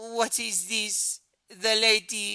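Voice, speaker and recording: A put-on character voice with a fairly high pitch on a very clean recording with a silent background. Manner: menacing, about to sting.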